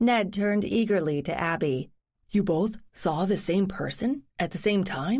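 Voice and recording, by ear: Reading aloud in a natural voice, against a quiet background.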